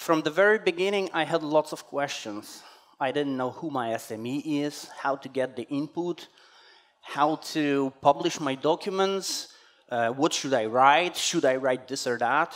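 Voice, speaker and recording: Over a quiet background, a man speaks at a fairly slow pace. His pitch varies in an ordinary way. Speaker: conference speaker. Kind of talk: conference talk. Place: hall.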